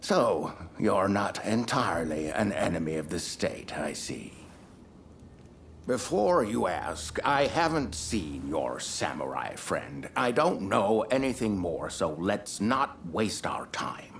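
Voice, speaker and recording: Fairly slow and swinging very widely in pitch, a put-on character voice comes through over clear background noise. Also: man, fairly low pitch for a man. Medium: video game. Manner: measured, self-assured.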